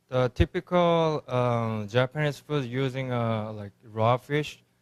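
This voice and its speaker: At a very slow pace, a man with a Korean accent speaks at medium pitch with ordinary pitch variation. The sound is dry and close without echo, on a very clean recording with a silent background. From South Korea. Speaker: restaurant owner and chef. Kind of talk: interview. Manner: halting, many fillers.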